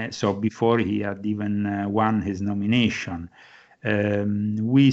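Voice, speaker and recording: A man with an Italian accent talks at a very slow pace and a fairly low pitch. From Rome, Italy. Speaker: author and Vatican correspondent. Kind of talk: interview.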